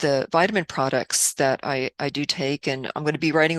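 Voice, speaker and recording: Dry and close with no echo, a woman's voice has a very deep, low pitch on a very clean recording with a silent background. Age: 60s. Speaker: video blogger. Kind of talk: casual talk to camera. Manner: halting, with many fillers.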